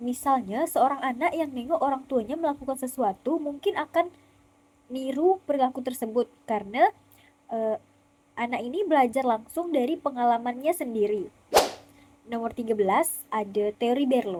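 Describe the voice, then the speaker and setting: A woman speaks at a moderate pace with a slight West Kalimantan accent. Her high pitch carries a dark, mellow tone and lively intonation. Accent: slight Pontianak Malay. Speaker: university student. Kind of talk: student presentation video. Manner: casual.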